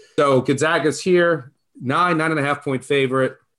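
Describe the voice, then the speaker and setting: A man talks with a normal speaking voice at a fairly high pitch. His pitch variation is ordinary. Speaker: podcast host. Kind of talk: casual chat.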